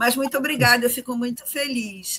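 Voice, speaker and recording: A woman's high-pitched voice. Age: 60s. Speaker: journalist and writer. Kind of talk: interview.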